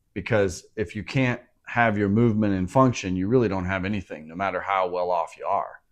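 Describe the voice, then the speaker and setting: It's a plain, everyday voice at a fairly quick pace, with fairly even intonation over a quiet background. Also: man, fairly low pitch for a man. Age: 50s. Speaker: podcast host. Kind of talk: podcast interview.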